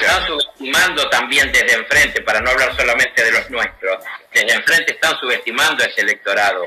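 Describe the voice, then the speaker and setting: A man with a Rioplatense accent talks at a very fast pace with very even loudness, over noticeable background noise. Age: 60s. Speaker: university dean and political figure. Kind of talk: radio interview. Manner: emphatic.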